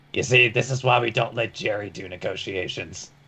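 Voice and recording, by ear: Gruff and delivered at a fairly quick pace, this is a put-on character voice. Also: man, medium pitch for a man.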